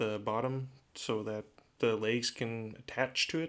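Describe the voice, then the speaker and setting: Speaking at a very slow pace, a man with a medium pitch uses a relaxed tone and fairly even intonation. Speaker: DIY woodworking YouTuber. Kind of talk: tutorial. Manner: monotone; casual, relaxed.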